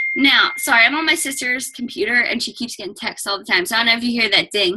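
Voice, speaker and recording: Loud and at a very fast pace, a woman speaks at a high pitch with ordinary pitch variation over noticeable background noise. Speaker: fitness coach guest speaker. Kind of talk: team call presentation.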